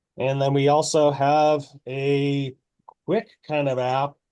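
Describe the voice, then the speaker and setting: The man has a fairly high pitch. His tone is dark and mellow. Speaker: ag-tech product presenter. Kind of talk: webinar product demo. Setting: online webinar. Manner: hesitant, many fillers.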